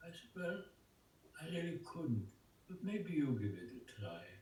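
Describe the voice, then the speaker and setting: The man's voice moves in very wide pitch swings. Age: 90s. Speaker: Holocaust survivor and artist. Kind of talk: interview answer. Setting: video call. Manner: slow, reflective, emotional.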